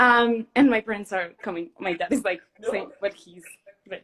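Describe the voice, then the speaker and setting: A Spanish accent from a woman. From Mexico. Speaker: fan caller on a livestream. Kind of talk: casual chat. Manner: halting.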